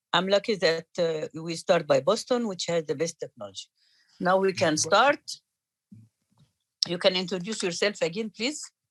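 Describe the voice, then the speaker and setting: Moderate-paced speech with an Arabic accent and long, frequent pauses. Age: 60s. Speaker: cardiologist and course organizer. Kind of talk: meeting introduction. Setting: video call.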